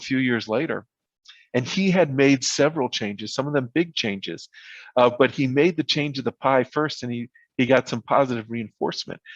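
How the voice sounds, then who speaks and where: There is a quiet background, and the sound is dry and close with no echo. A man talks at a fairly quick pace with a medium pitch. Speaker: visiting speaker at training seminar. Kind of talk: virtual seminar talk. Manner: fast.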